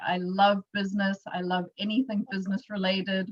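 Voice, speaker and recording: A woman speaks with a South African accent. Her voice is somewhat breathy and medium in pitch. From South Africa, Johannesburg. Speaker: entrepreneur and workshop presenter. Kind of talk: workshop presentation. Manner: casual with frequent fillers.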